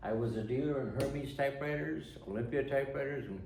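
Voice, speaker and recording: At a fairly quick pace, a man talks with medium pitch and ordinary pitch variation, with noticeable background noise and audible room echo. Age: 80s+. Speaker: retired typewriter dealer and restorer. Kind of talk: tutorial.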